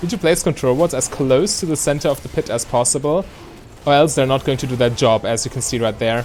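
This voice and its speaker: A man at a fairly quick pace, medium in pitch with ordinary pitch variation, over music in the background. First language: not English. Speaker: gaming video creator. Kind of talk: gameplay commentary. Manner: casual, explanatory with fillers.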